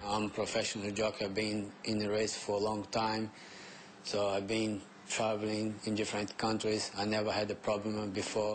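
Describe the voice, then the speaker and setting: A man speaks with a Brazilian accent in a monotone, flat intonation. His loudness stays very even. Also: fairly low pitch for a man, moderate pace. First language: Portuguese. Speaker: jockey. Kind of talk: interview. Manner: halting.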